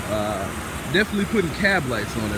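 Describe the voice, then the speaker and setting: A man talks at a fairly quick pace. The sound is dry with no echo, though the background noise is loud. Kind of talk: casual vlog chat. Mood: pleased about trade. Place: street. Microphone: phone near.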